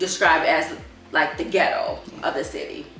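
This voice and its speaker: A woman with an American accent speaks at a moderate pace, with music in the background and audible echo in the room. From Chicago, Illinois, US. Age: 30s. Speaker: homeschooling mother. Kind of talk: interview testimony. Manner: halting, many fillers.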